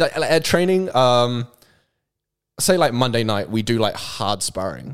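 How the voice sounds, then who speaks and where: A man with a New Zealand accent speaks at a fairly slow pace with lively intonation. The recording is very clean, with a silent background. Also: medium pitch for a man. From New Zealand, South Auckland. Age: 20s. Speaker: content creator. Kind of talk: casual chat.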